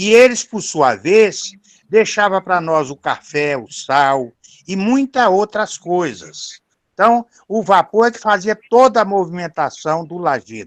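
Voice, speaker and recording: Speaking at a very slow pace, a man with a high-pitched voice is heard in a dry, close sound with no echo. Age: 70s. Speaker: relative of the author, participant. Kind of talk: video call remarks, reminiscing. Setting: video call from the countryside. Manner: halting, many fillers.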